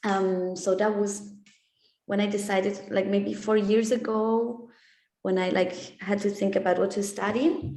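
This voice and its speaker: At a fairly slow pace, a woman speaks with fairly even intonation and very even loudness, with audible room echo. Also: medium pitch for a woman. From Switzerland. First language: German and Italian. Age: 20s. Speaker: exchange student. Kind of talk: interview. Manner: hesitant, many fillers.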